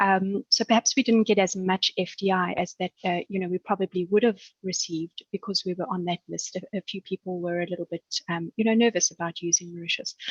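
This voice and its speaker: Somewhat breathy and at a medium pitch, a woman with a South African accent speaks at a fairly quick pace with fairly even intonation, the sound dry and close with no echo. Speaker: banker. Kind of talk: webinar panel discussion.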